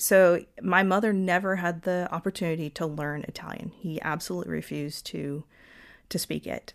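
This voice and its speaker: A woman's fairly low, plain, everyday voice at a moderate pace, in a very clean recording with a silent background. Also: fairly even intonation. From US South, Georgia (Lawrenceville). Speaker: engineer. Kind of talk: interview conversation.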